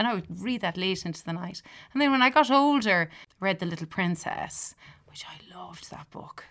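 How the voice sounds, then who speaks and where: A woman's medium-pitched voice with an Irish accent, vocal fry, lively intonation, big swings in loudness and a moderate pace, in a very clean recording with a silent background. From Ireland. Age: 40s. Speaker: music teacher. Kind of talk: casual chat. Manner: animated.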